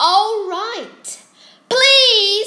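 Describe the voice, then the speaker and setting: A put-on character voice from a woman, pitched extremely high. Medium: read story.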